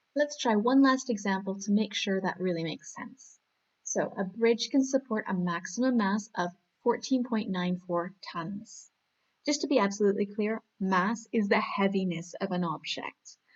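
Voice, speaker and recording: A woman with a Canadian accent at a moderate pace, medium pitch and ordinary pitch variation. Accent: Canadian accent, sounds American to some. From Canada. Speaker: maths teacher. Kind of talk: tutorial. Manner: animated.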